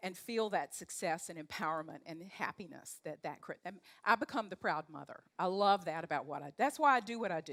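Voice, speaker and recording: The tone is animated, with a Southern accent. The sound is dry and close, with no echo. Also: woman. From US South, North Carolina. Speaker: leadership coach. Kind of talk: talk to a live audience.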